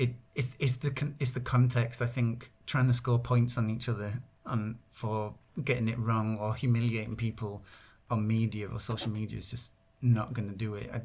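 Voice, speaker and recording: In a very clean recording with a silent background, a man speaks with an English accent at a medium pitch. His delivery is somewhat breathy, with monotone, flat intonation. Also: moderate pace. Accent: English accent when speaking English. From northern England. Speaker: Welsh language translator and activist. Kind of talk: podcast interview. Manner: halting, many repetitions and fillers.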